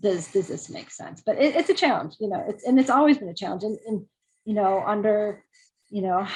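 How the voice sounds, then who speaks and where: Her voice is somewhat breathy. This woman speaks at a fairly high pitch. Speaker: environmental scientist, guest speaker. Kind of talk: talk with questions and answers. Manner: fast; halting, many fillers and repeats.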